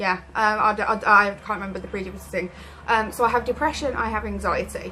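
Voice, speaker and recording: Speaking very fast with an English accent, a woman keeps a fairly high pitch and fairly even intonation. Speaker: vlogger with chronic illness. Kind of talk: personal vlog. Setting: at home in her room. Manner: halting.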